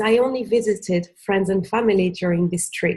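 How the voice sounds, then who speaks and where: A somewhat breathy woman speaks at a moderate pace with ordinary pitch variation. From Senegal, of Cape Verdean parents. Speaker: former retail manager, digital nomad. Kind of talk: casual interview chat. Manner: energetic; halting, many fillers.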